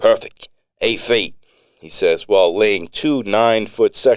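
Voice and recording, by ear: The setting behind the voice is quiet. It is reading aloud in a natural voice.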